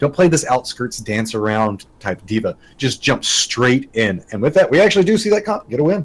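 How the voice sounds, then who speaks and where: A man speaks with hardly any pauses. His tone is animated, and his pitch swings very widely. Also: medium pitch for a man, moderate pace. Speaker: esports caster. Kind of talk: live commentary.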